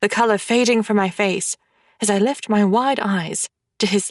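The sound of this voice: Intonation stays fairly even in an unforced reading voice. Nothing much is heard behind it.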